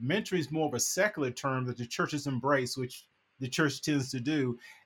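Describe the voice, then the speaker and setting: A man with a fairly high pitch speaks fairly quickly in a somewhat breathy voice. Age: 60s. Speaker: ministry author and discipler. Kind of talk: casual interview chat.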